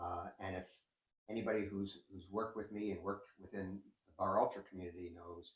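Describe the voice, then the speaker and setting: The man's voice sits fairly low and sounds somewhat breathy. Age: 60s. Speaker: endurance cyclist and coach. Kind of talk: interview. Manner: hesitant, with frequent fillers.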